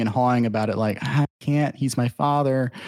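Very clean and set against a silent background, a man's plain, everyday voice moves at a fairly quick pace. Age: 20s. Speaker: podcast host. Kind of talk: casual chat.

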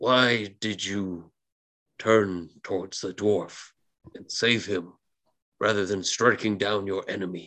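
Putting on a character voice, a man speaks fairly slowly and fairly low, with long, frequent pauses.

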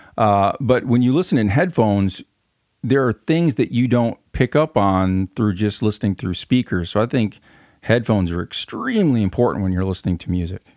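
Recorded very cleanly with a silent background and a dry, close sound with no echo, a man with an American accent and an unremarkable speaking voice speaks at a moderate pace and medium pitch with lively intonation. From US Midwest. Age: 40s. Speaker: music podcast co-host. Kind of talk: casual interview chat.

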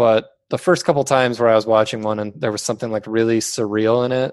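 A man speaks at a fairly low pitch with fairly even intonation. The background is quiet. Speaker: skate video maker. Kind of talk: casual interview. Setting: video call. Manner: monotone.

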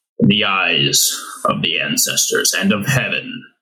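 In a loud, put-on character voice, a man speaks at a fairly slow pace. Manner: loud, formal, authoritative.

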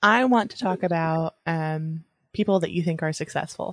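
Recorded with a dry, close sound with no echo and a quiet background, a normal speaking voice shows ordinary pitch variation. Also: woman. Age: 30s. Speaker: podcast co-host. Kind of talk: casual chat.

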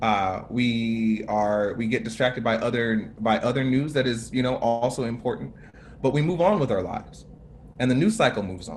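Music plays in the background as a man with an American accent speaks at a moderate pace, his medium pitch showing ordinary pitch variation. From United States. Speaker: racial justice activist. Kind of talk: panel talk. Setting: video call.

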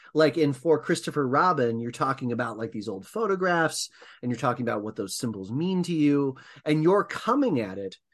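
A man talks at a moderate pace with a fairly high pitch. He has an unremarkable speaking voice. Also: quiet background. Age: 30s. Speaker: podcast host. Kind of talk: interview.

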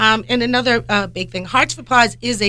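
A woman speaks at a fairly quick pace in a bright, sharp tone with vocal fry. Her pitch swings very widely. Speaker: animal rescue volunteer. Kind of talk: radio talk show chat. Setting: radio studio. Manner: loud.

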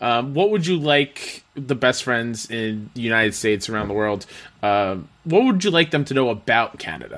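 At a moderate pace, a man uses an ordinary speaking voice of medium pitch with lively intonation. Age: 30s. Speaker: podcast host. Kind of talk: casual chat.

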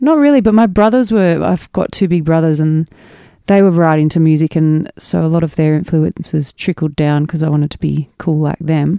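With an Australian accent, a woman speaks at a moderate pace in a very deep, low, dark and mellow voice with ordinary pitch variation, recorded dry and close with no echo. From Australia, mid-north coast of New South Wales. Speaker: musician. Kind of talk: casual chat.

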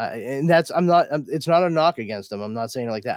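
A man talks with lively intonation. The recording is very clean with a silent background, dry and close with no echo. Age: 40s. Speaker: podcast host. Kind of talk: casual chat. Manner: animated.

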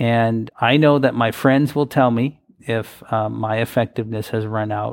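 An unremarkable speaking voice with an American accent, fairly slow and fairly even in intonation, with hardly any pauses. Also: man, medium pitch for a man. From US Midwest, Wisconsin. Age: 40s. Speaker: advocacy organization president. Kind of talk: interview.

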